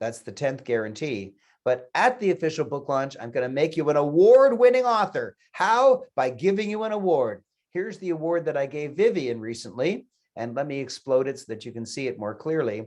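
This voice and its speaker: Fairly high male voice at a fairly quick pace, with very wide pitch swings and big swings in loudness over a quiet background. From Canada. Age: 70s. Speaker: author and business coach. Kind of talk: sales pitch. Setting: webinar.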